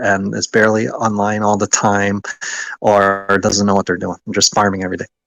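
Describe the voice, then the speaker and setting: A man's fairly low voice with a dry, close sound and no echo. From United States. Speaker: online game alliance leader. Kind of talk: casual interview chat.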